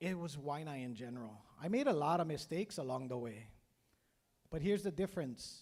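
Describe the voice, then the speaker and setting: At a moderate pace, a man speaks with a Hawaiian accent and very wide pitch swings. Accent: Hawaii local English. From Hawaii, Oahu west side. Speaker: career day speaker, business owner, Navy veteran. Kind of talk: motivational speech. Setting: school assembly with PA system.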